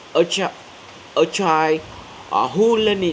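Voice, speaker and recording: A man talks, his pitch moving in an ordinary way, while noticeable noise fills the background. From central Vietnam. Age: 30s. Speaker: graduate student and community worker. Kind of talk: English speaking practice presentation. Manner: halting, many fillers and restarts.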